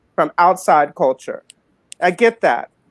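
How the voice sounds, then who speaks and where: A plain, everyday voice. The intonation is lively and full of movement. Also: woman. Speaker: talk show panelist. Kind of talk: casual panel discussion. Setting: live video stream.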